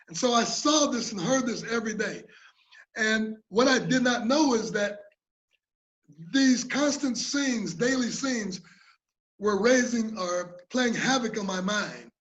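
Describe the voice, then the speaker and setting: In a room with audible echo, a man speaks at an extremely high pitch with ordinary pitch variation. Long, frequent pauses break up his speech. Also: fairly slow pace. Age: 60s. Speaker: conference presenter, mental health peer speaker. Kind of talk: presentation. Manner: halting, with repetitions.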